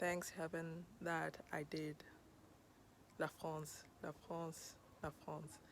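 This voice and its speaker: A woman with a fairly low pitch, at a very slow pace. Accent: Kenyan. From Kenya. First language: Luo. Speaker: podcast host. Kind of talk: personal storytelling monologue.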